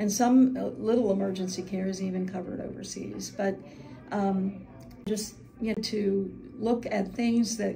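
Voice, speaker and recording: Moderate pace with audible room echo and noticeable background noise. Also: woman. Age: 70s. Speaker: Medicare agent. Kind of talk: testimony.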